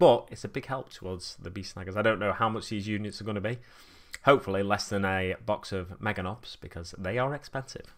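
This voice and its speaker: Over a silent background in a very clean recording, someone with a Manchester accent talks very fast with fairly even intonation. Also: man. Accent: Stockport-like Manchester. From Manchester, England (Burnage/East Didsbury). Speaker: miniature painting streamer. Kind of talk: casual live-stream chat. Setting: live stream.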